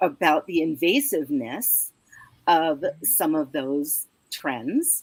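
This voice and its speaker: A woman's very deep, low voice with lively intonation, at a very slow pace. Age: 60s. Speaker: caregiving professional. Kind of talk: panel discussion.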